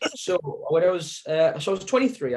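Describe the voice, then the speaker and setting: Speaking at a fairly quick pace, a man talks with a Sunderland accent. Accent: Sunderland (Mackem) northeast English. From northeast England, Sunderland. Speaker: cancer survivor, support group founder. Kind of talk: interview testimony. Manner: hesitant, many fillers.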